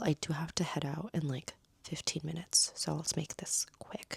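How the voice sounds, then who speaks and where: A somewhat breathy woman's voice, fairly low in pitch, with an American accent and a dry, close sound with no echo. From United States. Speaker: travel vlogger. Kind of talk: casual vlog monologue. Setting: Airbnb room. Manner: rambling, filler-heavy.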